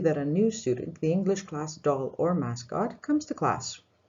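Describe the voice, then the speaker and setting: With very wide pitch swings, a woman speaks at a fairly quick pace in a somewhat breathy voice. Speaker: English teacher. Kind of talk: tutorial. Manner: formal.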